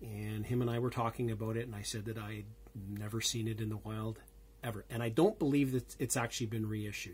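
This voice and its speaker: A man with a Canadian accent, somewhat breathy, at a medium pitch and a fairly quick pace with monotone, flat intonation. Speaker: record collector vlogger. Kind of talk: casual video monologue. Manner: fast.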